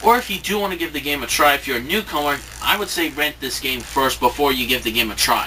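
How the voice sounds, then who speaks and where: A man speaks at a fairly quick pace with lively intonation while noticeable background noise plays behind him. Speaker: video game reviewer. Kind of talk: spoken review to camera. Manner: halting, many fillers and restarts.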